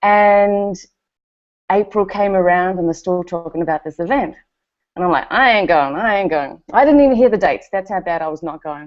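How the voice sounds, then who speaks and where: Speaking with a New Zealand accent, a woman keeps a fairly quick pace. Her medium pitch moves with lively intonation. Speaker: network marketer. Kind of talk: testimony.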